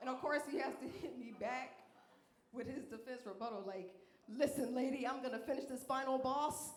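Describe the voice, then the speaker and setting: Over noticeable background noise and audible room echo, a woman talks at a moderate pace in a high, animated voice with ordinary pitch variation. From Alabama. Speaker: comedian. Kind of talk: stand-up. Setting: stage with audience.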